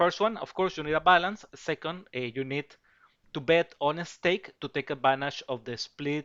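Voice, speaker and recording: A man with a Spanish accent and a bright, sharp tone at a moderate pace, in a very clean recording with a silent background. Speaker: betting tipster. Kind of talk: sales pitch. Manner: halting, many fillers and repetitions.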